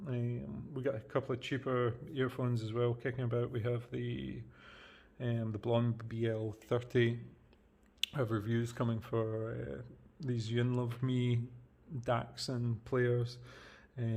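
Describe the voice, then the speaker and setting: A man's dark, mellow, somewhat breathy voice at a fairly slow pace, with fairly even intonation and long, frequent pauses. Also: medium pitch for a man. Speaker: tech reviewer. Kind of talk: product review. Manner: halting, many fillers. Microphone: janky budget setup, audio issues.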